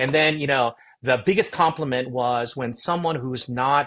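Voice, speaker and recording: Here a man talks with an American accent at a moderate pace. His pitch is fairly high, with ordinary variation. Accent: American English, near-native. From Korea, immigrated to US at about 10. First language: Korean. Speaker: seminary president. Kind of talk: interview conversation. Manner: loud.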